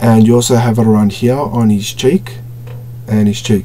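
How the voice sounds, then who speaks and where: A man's medium-pitched voice at a moderate pace, fairly even in intonation, with noticeable background noise. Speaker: toy collector reviewer. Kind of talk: product review. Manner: stuttering at times; casual, filler-heavy.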